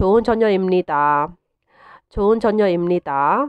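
At a very slow pace, a woman talks with a medium pitch. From Myanmar. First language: Burmese (speaking Korean). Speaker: language teacher. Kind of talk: tutorial. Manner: slow, repetitive drilling of phrases.

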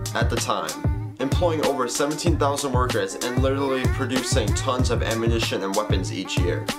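Loud music plays in the background. Over it, a man speaks at a fairly quick pace. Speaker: vlogger. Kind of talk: casual vlog intro. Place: home room. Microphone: phone near.

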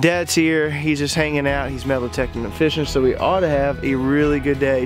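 A man talks at a fairly quick pace over clear background music, and the sound is dry with no echo. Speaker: turkey hunter host. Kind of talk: casual vlog chat.

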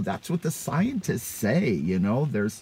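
A dark, mellow, somewhat breathy male voice. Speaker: vlogger telling a dating story. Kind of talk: casual vlog chat. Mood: wry, self-mocking. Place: car. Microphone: phone near.

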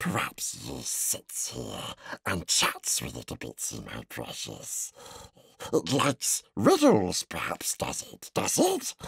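Whispering in a put-on character voice, a man speaks fairly slowly with a raspy, hissing sound. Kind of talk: audiobook reading. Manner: whispered, hissing.

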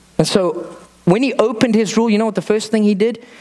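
A man talks at a fairly quick pace with a high pitch. Noticeable background noise is present. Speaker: pastor. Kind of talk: sermon.

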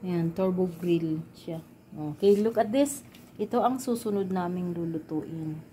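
Light background noise accompanies this woman. She talks at a fairly slow pace with ordinary pitch variation. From Philippines. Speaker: vlogger. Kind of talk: casual cooking vlog. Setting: home kitchen. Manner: animated. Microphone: phone near.

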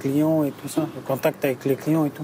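Over light background noise, a man speaks in a fairly high pitch, the sound dry with no echo. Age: 30s. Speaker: delivery driver. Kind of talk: interview testimony. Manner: halting. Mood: calm, reflective. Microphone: lapel.

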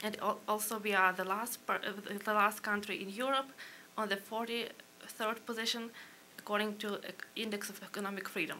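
A woman speaks with a Ukrainian accent in a flat, monotone delivery at a moderate pace. Her long pauses come often, over light background noise. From Ukraine. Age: young. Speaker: policy analyst. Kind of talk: panel presentation. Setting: stage with audience. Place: hall. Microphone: podium.

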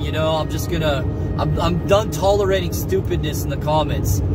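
Music plays in the background as a man speaks at a fairly quick pace, the sound dry with no echo. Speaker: religious vlogger. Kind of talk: casual preaching monologue. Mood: earnest, a bit defiant. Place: car. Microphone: phone near.

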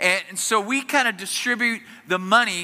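A man speaks in a raised, projected voice. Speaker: pastor. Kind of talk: sermon. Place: church. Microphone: headset.

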